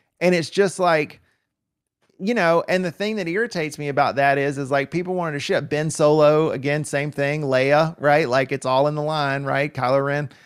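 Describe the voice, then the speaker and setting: A man with an American accent speaks in an ordinary speaking voice, fairly high in pitch, at a moderate pace with ordinary pitch variation, in a very clean recording with a silent background. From US South (rural Deep South). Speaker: podcaster. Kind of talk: casual chat.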